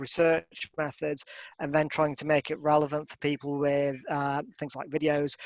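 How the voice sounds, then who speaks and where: In a Yorkshire accent, a man with a fairly high voice speaks at a moderate pace, the sound dry and close with no echo against a quiet background. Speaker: professor. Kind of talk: online lecture. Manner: halting, many fillers and repeated words. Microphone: dodgy internet connection, audio may go funny.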